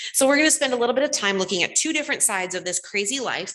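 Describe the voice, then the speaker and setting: A woman talks loudly at a very fast pace, her pitch high and her tone bright and sharp. Her intonation is lively. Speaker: lay preacher. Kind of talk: sermon.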